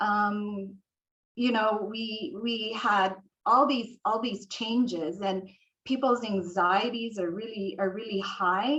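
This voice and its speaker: Very slow speech with ordinary pitch variation. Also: woman, fairly high pitch for a woman. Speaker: hospital social worker. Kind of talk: panel discussion. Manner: slow, hesitant.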